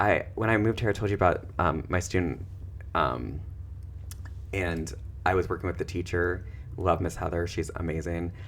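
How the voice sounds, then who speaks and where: With a Midwestern accent, a man speaks at a moderate pace and a very deep, low pitch, using vocal fry, ordinary pitch variation and long, frequent pauses. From US Midwest. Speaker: social worker and therapist, podcast co-host. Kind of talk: casual chat. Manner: animated.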